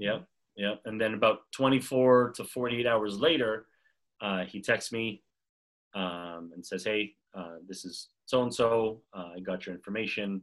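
A man with a Montreal accent, fairly low pitch with ordinary variation, a fairly slow pace and big swings in loudness. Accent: Canadian English (Montreal). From Montreal, Canada. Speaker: basketball player development coach. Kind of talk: casual interview. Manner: hesitant, many fillers.

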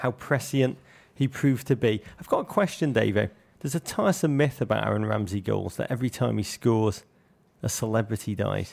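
A man talks at medium pitch in an English accent. Vocal fry runs through his voice. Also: ordinary pitch variation, very clean recording, silent background. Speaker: football podcast co-host. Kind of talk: casual chat. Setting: studio.

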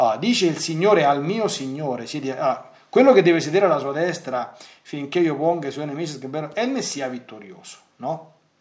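This man talks at a fairly quick pace, his pitch fairly high. His intonation is lively, and the room echo is audible. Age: 40s. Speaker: priest and radio catechist. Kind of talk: lecture. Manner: halting.

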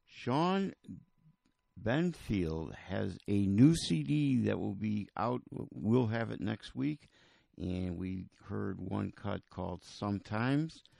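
Speaking at a very slow pace, the voice has a dark, mellow tone and very wide pitch swings. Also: man, very deep, low pitch for a man. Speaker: radio host. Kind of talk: radio DJ patter, back-announcing songs and promoting the show and a festival. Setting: radio studio broadcast. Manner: relaxed, chatty, easygoing.

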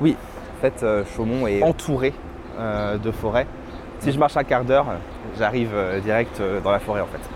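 Over noticeable background noise, the speech moves at a moderate pace, broken by long, frequent pauses. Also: man, medium pitch for a man, ordinary pitch variation. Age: 30s. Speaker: cultural venue director. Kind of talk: casual interview.

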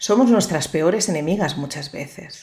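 At a moderate pace, a woman talks in a plain, everyday voice with fairly low pitch. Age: 50s. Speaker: psychologist and podcast host. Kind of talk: motivational monologue.

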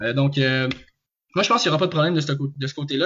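The man's pitch is fairly high. His voice comes across somewhat breathy. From Quebec, Joliette. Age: 20s. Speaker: student and football fan panelist. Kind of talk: casual sports discussion. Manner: halting, many repetitions.

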